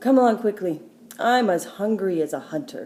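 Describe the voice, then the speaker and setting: A woman does a raspy, put-on character voice at a medium pitch. She talks at a moderate pace with lively intonation. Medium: read story. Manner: simple, direct.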